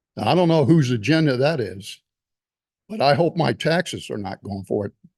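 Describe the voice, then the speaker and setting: Here a man with an American accent and vocal fry talks at a moderate pace. His fairly high pitch swings very widely, in a dry, close sound with no echo. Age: 70s. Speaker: retired veteran, public commenter. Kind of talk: public comment at county meeting. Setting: county board meeting room.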